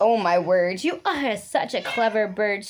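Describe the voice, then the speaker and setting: A woman puts on a cackling character voice at a medium pitch. She keeps to a moderate pace. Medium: read story. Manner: theatrical, cackling.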